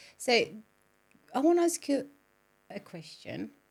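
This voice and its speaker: Speaking at a moderate pace, a woman with a Spanish accent uses ordinary pitch variation. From Colombia. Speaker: podcast host. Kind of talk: interview conversation.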